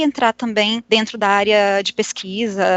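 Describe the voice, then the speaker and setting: Her voice sits at a medium pitch and rises and falls in an ordinary way. This woman has an unremarkable speaking voice. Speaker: podcast co-host, art historian. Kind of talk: casual discussion.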